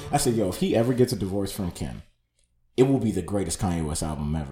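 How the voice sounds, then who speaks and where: A man speaks very fast in a somewhat breathy voice. His pitch swings very widely. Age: 20s. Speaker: photographer and creative. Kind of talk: casual chat.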